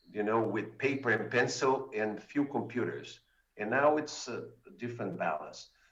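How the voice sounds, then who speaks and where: A man speaks at a medium pitch with ordinary pitch variation. Audible echo fills the room. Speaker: mathematics education researcher. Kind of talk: conference talk. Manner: slow.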